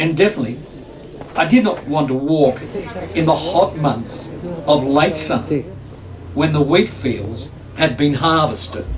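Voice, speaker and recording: Over noticeable background noise, a man with an Australian accent and a fairly high pitch uses lively intonation at a fairly slow pace, with long, frequent pauses. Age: 70s. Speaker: hiker and travel vlogger. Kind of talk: scripted narration.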